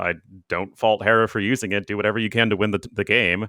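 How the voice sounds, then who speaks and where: A man with an ordinary speaking voice talks at a fairly quick pace and a fairly low pitch. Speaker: esports streamer. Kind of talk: casual chat.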